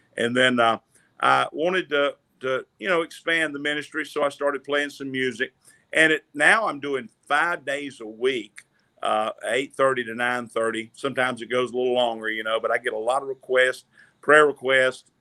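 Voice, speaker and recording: Recorded dry and close with no echo, a man speaks with a Southern US accent. His medium-pitched voice has a bright, sharp tone and ordinary pitch variation. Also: moderate pace. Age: 60s. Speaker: gospel singer and online minister. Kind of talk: casual chat.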